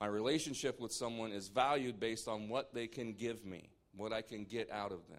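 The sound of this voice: The intonation stays fairly even throughout an unforced reading voice.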